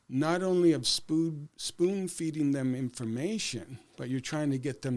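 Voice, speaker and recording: A man with a Canadian accent and an unremarkable speaking voice talks at a moderate pace with ordinary pitch variation, on a very clean recording with a silent background. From Canadian Prairies, Saskatchewan. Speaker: educator and school board candidate. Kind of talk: podcast interview.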